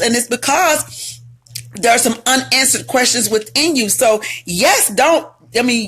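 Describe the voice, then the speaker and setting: Music plays behind a loud woman with a high pitch. Her tone is animated and her intonation lively. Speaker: relationship advice host and author. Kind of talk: live stream talk. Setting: live video stream.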